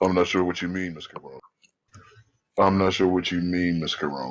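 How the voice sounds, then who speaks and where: At a moderate pace, a man talks in a put-on character voice. His pitch is very deep and low. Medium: actual play. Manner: stiffly formal, courteous.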